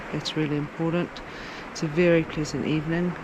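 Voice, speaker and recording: A woman's whisper is heard through noticeable background noise. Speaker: sailing vlogger. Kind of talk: casual vlog narration. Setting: on a sailboat at night. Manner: whispering.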